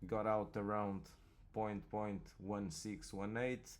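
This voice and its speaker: Audible room echo surrounds a man speaking very slowly at a fairly low pitch with a non-native accent. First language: not English. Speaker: crypto market analyst. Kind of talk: market analysis commentary. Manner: halting, repeats words.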